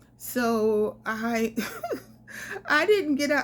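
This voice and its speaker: An ordinary speaking voice with ordinary pitch variation, in a very clean recording with a silent background. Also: woman. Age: 50s. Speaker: solo traveler and travel vlogger. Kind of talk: casual storytelling to camera.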